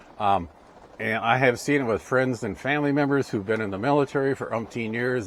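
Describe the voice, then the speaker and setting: Noticeable background noise is heard behind a man at medium pitch. He talks at a fairly quick pace with ordinary pitch variation. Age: 60s. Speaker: ham radio and RV vlogger. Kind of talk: casual monologue giving life advice. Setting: indoors, rain on the roof. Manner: halting, many fillers.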